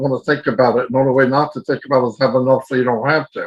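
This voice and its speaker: A fairly high-pitched male voice with fairly even intonation. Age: 60s. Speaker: online business promoter. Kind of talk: webinar presentation. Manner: casual.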